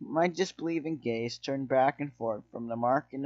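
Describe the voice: Someone does plain reading aloud. Pitch moves an ordinary amount.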